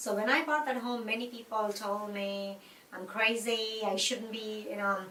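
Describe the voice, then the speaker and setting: A woman with an Indian accent talks at a moderate pace and a fairly high pitch with fairly even intonation, amid audible room echo and noticeable background noise. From India, Mumbai. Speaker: interviewee. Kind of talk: interview.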